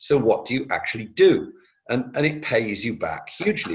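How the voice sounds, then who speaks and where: A man's somewhat breathy voice at a moderate pace. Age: 70s. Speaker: retired business executive and philanthropist. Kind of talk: panel discussion. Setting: webinar. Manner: repetitive, stammering starts.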